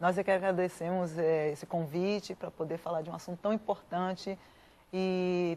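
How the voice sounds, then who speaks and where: This woman has a plain, everyday voice with fairly low pitch. She keeps a moderate pace and fairly even intonation. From Bahia, Brazil. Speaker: missionary. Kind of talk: TV interview.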